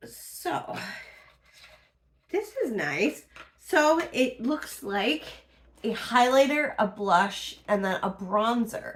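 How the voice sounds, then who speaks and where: A woman speaks at a high pitch with very wide pitch swings. Her pace is very slow, broken by long, frequent pauses. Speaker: beauty unboxing vlogger. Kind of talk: product review.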